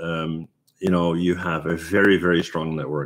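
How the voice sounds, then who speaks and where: A moderate pace against a quiet background. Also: man. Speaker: 3D artist and tutorial creator. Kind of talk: live stream Q&A. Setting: live stream. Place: home room. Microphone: webcam.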